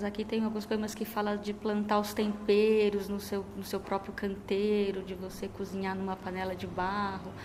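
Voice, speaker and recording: The speech comes at a fairly slow pace with flat, monotone intonation and audible room echo. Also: woman. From São Paulo, Brazil, with Minas Gerais parents. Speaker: poet. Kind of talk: interview. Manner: halting, many fillers.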